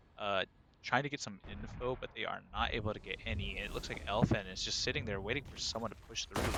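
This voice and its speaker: Noticeable background noise runs under this recording. A man talks at a very fast pace with ordinary pitch variation. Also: medium pitch for a man. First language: not English. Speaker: esports caster. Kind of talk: live commentary. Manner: animated.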